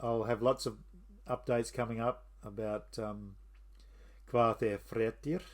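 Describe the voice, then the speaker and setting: Heard in a very clean recording with a silent background, a man with an Australian accent talks at a moderate pace. His pitch is medium and his tone relaxed. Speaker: history and mythology channel host. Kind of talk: casual monologue. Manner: relaxed, with fillers.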